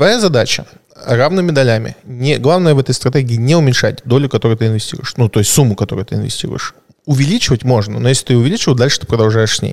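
A man talks at a very fast pace in a medium pitch. His pitch varies an ordinary amount. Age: 30s. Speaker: private investor. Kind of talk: casual podcast conversation.

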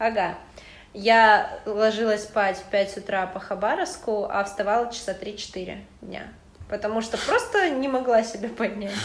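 A woman's fairly high pitch with ordinary pitch variation, a fairly slow pace and big swings in loudness, plus audible room echo and noticeable background noise. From Russian Far East, Khabarovsk. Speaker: university student. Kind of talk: casual chat.

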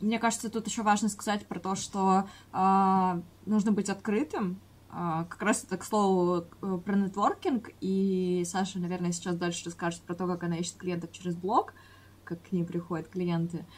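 The delivery is somewhat breathy. It keeps a moderate pace. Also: woman, medium pitch for a woman, fairly even intonation. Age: 20s. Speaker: podcast co-host, freelancer. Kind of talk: casual chat. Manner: hesitant, many filler sounds.

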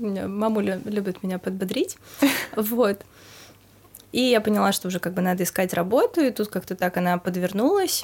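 Speaking at a moderate pace with long, frequent pauses, a woman uses a medium pitch and ordinary pitch variation. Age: 20s. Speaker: restaurant PR specialist. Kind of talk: casual chat.

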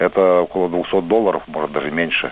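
A man speaks over noticeable background noise. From Belarus, Vitebsk region. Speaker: radio caller, election observer. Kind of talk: call-in to live radio.

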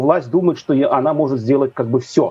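A man's voice with a dark, mellow tone. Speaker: news editor. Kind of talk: interview. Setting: video call.

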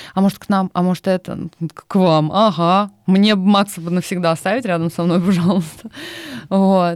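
With a dry, close sound and no echo, a woman talks at a moderate pace in a medium pitch with monotone, flat intonation. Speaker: former agency account director, freelancer. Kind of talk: casual chat.

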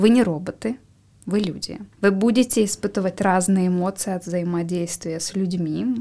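This woman has a dark, mellow tone at a medium pitch. She speaks at a moderate pace with fairly even intonation. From Siberia, Russia. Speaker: psychologist. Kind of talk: expert interview.

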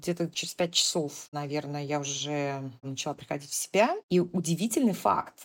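On a very clean recording with a silent background, a woman speaks in a very deep, low voice with hardly any pauses. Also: ordinary pitch variation, moderate pace. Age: 40s. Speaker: cancer patient, entrepreneur. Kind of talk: interview.

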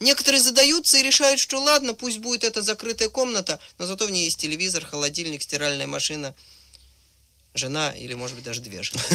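A man's raised, projected voice at a high pitch, very fast pace, with big swings in loudness and very wide pitch swings. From Soviet Union, Moscow. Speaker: writer and screenwriter, recent emigrant. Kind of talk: radio interview.

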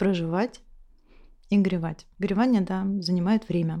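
In a very clean recording with a silent background, a woman speaks at a medium pitch with a dark, mellow tone and fairly even intonation. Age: 30s. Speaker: psychotherapist. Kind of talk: expert commentary on a therapy session.

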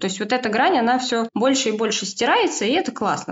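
Noticeable noise runs in the background. A woman does the talking. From Moscow, Russia. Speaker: stylist and knitwear consultant. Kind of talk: casual chat.

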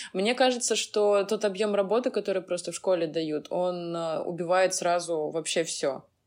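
A woman talks at a moderate pace in a medium pitch with ordinary pitch variation. It is a plain, everyday voice. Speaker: podcast co-host, historian. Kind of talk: casual chat.

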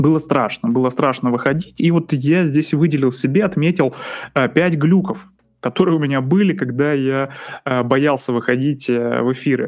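The speech moves at a moderate pace with very even loudness and ordinary pitch variation. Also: man, fairly high pitch for a man. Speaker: psychologist. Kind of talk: casual monologue. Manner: relaxed.

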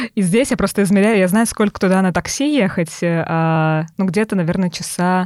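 Using an ordinary speaking voice, a woman talks at medium pitch and a moderate pace, with ordinary pitch variation, very even loudness and hardly any pauses. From Tolyatti, Samara region, Russia. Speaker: podcast co-host, sales manager, yoga teacher. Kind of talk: casual chat.

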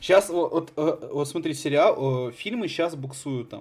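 There is noticeable background noise behind this man. He speaks at a moderate pace with ordinary pitch variation. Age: 20s. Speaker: podcast host. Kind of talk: casual chat. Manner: animated.

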